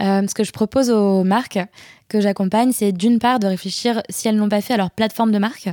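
Speaking at a fairly quick pace, a woman with a dark, mellow tone and medium pitch keeps her intonation fairly even and her loudness very even, in a dry, close sound with no echo. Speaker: content and brand strategist, freelancer. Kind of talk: interview. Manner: fast.

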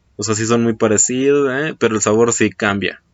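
The speaker talks at a fairly slow pace in a Mexican accent. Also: man. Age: 20s. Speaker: podcast host. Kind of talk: casual solo monologue. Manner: hesitant, many fillers.

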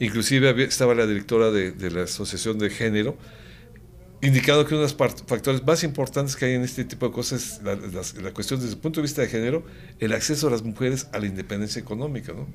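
A man with a medium pitch and ordinary pitch variation speaks very fast. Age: 70s. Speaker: government official. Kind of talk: interview.

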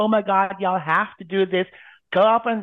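A nasal, put-on character voice speaks with an American accent. The pitch sits in the middle, and the pace is moderate.

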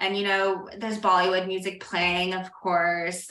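A woman with an American accent at a moderate pace, with audible room echo and noticeable background noise. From moved a lot: India, Saudi Arabia, various US states. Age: 30s. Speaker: writer and newsletter founder. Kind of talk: casual interview chat.

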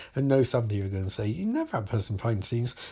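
A man with an English accent, medium pitch and a somewhat breathy voice, talking at a very fast pace with ordinary pitch variation. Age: 30s. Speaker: podcast host. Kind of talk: casual monologue.

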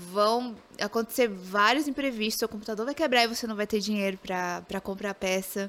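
At a moderate pace, a woman with a fairly high pitch and a normal speaking voice varies her pitch in an ordinary way, heard on a very clean recording with a silent background. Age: 20s. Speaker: game streamer. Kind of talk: casual interview.

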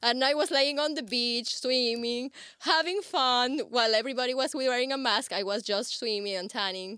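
A woman with a Spanish accent speaks at a moderate pace, her pitch high and her tone bright, sharp and cheerful. Her pitch varies in an ordinary way. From Ecuador. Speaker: bikini model and belly dancer. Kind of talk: casual interview chat. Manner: cheerful, laughs often.

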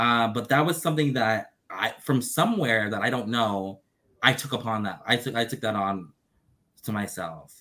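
A man's bright, sharp voice at medium pitch, with ordinary pitch variation and a moderate pace. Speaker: BL content creator. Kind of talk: casual chat.

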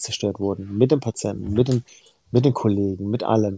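Dark and mellow in tone, a man speaks with a fairly low pitch. His pitch variation is ordinary. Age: 40s. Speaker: heart surgeon. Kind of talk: casual interview chat.

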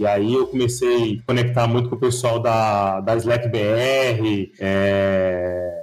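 A man talks at a very slow pace with fairly even intonation. Music sounds in the background. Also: medium pitch for a man, hardly any pauses. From São Paulo, Brazil (also six years in Bahia). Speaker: security researcher. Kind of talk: casual interview.

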